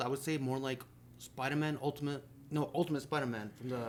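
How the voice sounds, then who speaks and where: Very fast and fairly even in intonation, a man speaks at a fairly high pitch. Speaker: podcast co-host covering gaming news. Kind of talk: casual chat.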